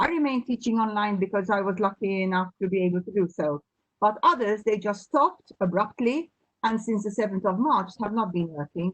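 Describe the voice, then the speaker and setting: A woman with an ordinary speaking voice talks at a fairly quick pace at a medium pitch with lively intonation, the sound dry and close with no echo. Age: 60s. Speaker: teacher, webinar participant. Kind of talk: question in a webinar.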